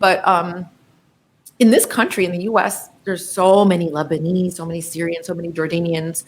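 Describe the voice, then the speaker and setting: A woman with an American accent speaks at a fairly quick pace with fairly even intonation. The recording is very clean, with a silent background. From US, New Jersey. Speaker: professor of Arabic. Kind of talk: interview conversation.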